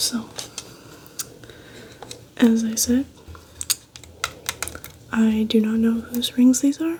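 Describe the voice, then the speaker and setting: Soft-spoken and fairly high in pitch, a woman speaks at a very slow pace with fairly even intonation and long, frequent pauses over noticeable background noise. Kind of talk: ASMR soft-spoken show and tell to camera.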